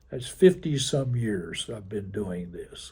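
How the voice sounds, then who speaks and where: A dark, mellow, somewhat breathy voice at a very slow pace. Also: man. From Virginia, rural Appalachian coal country. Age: 80s+. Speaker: volunteer genealogist. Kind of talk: interview. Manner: animated.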